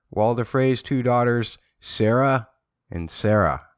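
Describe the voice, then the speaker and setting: This is an ordinary speaking voice, a man at a medium pitch and moderate pace, in a very clean recording with a silent background. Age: 40s. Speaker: podcast host. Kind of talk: casual chat.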